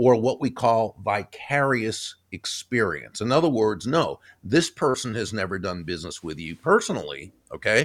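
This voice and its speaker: With an American accent, a man's voice moves in very wide pitch swings. Vocal fry runs through his speech. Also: dry, close sound with no echo. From US Northeast, Boston area. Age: 60s. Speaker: author and keynote speaker. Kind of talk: interview. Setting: video call.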